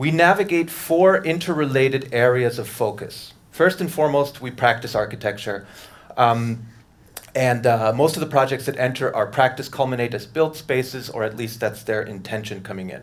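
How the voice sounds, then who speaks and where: Audible room echo surrounds a man with a New York accent who speaks at a medium pitch and a moderate pace with ordinary pitch variation. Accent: New York American English. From US, New York City. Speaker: architect. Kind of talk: lecture.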